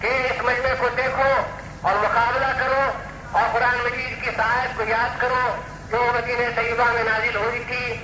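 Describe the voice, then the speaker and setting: A man speaks in a raised, projected voice at an extremely high pitch. His intonation is a flat monotone, with noticeable background noise. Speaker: Islamic scholar giving a sermon. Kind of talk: religious public speech.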